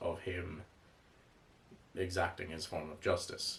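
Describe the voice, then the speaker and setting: This man speaks with an Irish accent. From Ireland. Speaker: comics reviewer. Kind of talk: casual commentary video. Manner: casual, with fillers and restarts.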